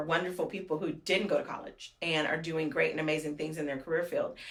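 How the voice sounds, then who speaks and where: Over noticeable background noise, a woman with an American accent talks at a very fast pace in an animated tone. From Fresno, California. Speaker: mayor. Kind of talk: interview. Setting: office.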